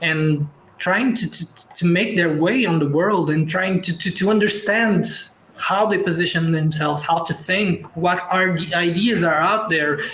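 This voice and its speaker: With noticeable background noise behind him, a man talks at a fairly slow pace in a Portuguese accent, his pitch high with ordinary variation. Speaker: actor and director. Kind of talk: online panel discussion. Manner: halting, many repetitions and restarts.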